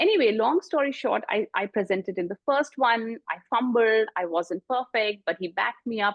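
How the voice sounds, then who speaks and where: A woman with a strong Indian accent speaks at a moderate pace in a fairly high pitch, with lively intonation and hardly any pauses. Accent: prominent Indian. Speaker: executive coach and author. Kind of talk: interview.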